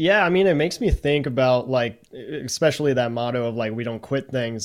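An ordinary speaking voice from a man, medium in pitch, fairly quick, with ordinary pitch variation. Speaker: content creator and streamer. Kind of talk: casual chat.

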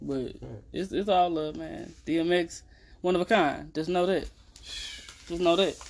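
A man's loudness swings widely as he talks very slowly, noticeable background noise behind him. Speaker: podcast host. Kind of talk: casual improvised chat.

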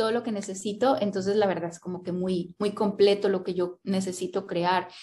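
With a dark, mellow tone and a somewhat breathy quality, this woman talks at a moderate pace. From Colombia (Cali). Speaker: writer and graphic designer. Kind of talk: interview.

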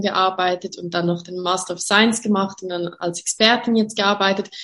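A woman with a bright, sharp tone and fairly even intonation. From Switzerland, Graubünden. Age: 30s. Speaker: network marketing distributor. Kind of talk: interview. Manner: hesitant, many fillers.

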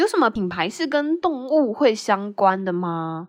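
Against a quiet background, a woman's fairly high voice makes very wide pitch swings. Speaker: podcast host. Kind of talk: solo casual monologue telling jokes. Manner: light, giggly.

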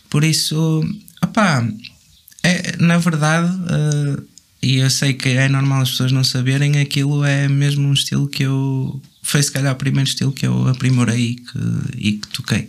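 Noticeable background noise runs through the clip. Loudness stays very even, with fairly even intonation. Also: man, fairly high pitch for a man. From northern Portugal, Vila Nova de Gaia. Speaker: drummer. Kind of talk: casual chat.

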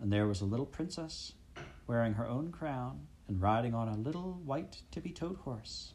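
A natural reading voice carries lively intonation throughout.

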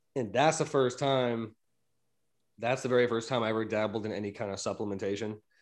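A man in a normal speaking voice, fairly quick in pace, with fairly even intonation. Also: medium pitch for a man, quiet background. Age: 30s. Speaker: podcast host, gym enthusiast. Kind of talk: casual chat.

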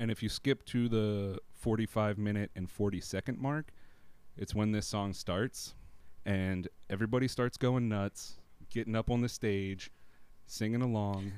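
At a fairly slow pace, a man with an ordinary speaking voice talks at a fairly low pitch with fairly even intonation. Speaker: music podcast co-host. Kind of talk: casual chat.

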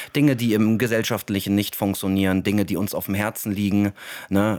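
A man talks at a moderate pace in a fairly low pitch, in a plain, everyday voice. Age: 30s. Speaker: podcast host and elderly care worker. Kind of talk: casual chat.

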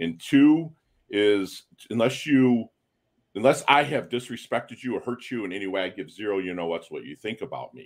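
With an ordinary speaking voice at medium pitch, a man talks at a moderate pace with lively intonation and big swings in loudness in a very clean recording with a silent background. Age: 50s. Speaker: navy veteran and podcaster. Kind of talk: casual chat.

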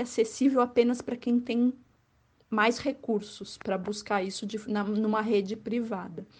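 Somewhat breathy, a woman with a fairly high voice talks at a moderate pace in fairly even intonation. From Florianópolis area, Santa Catarina, Brazil. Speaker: journalist and tour guide. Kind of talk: interview.

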